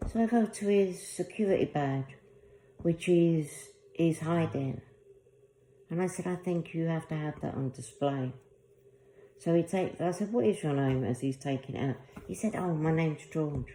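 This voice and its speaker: Speaking at a moderate pace with a London accent, a woman uses a fairly low pitch, a dark, mellow tone and ordinary pitch variation, leaving long, frequent pauses. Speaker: video blogger. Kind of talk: personal testimony monologue.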